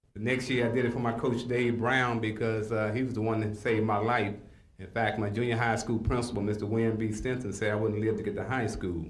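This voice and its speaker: In an American accent, a man talks at a very fast pace with monotone, flat intonation at a medium pitch. Noticeable background noise and audible room echo are in the recording. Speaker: community organizer. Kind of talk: interview.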